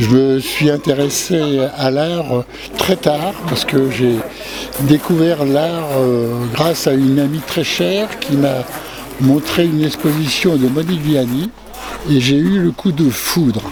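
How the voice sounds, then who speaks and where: Against noticeable background noise, a man with a fairly high pitch talks at a very slow pace, with ordinary pitch variation and very even loudness. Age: 70s. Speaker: self-taught artist. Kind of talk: interview. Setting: art fair. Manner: hesitant.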